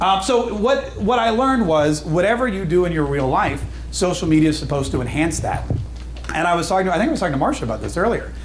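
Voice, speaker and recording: The speech comes at a very fast pace with lively intonation. Room echo is audible, and there is noticeable background noise. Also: man, high pitch for a man. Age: 40s. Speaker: radio DJ and social media speaker. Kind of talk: conference talk. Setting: stage with audience.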